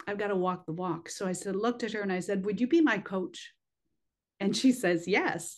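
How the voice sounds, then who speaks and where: A woman's medium pitch with ordinary pitch variation, at a moderate pace over a quiet background. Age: 60s. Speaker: pageant organization president. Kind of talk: interview.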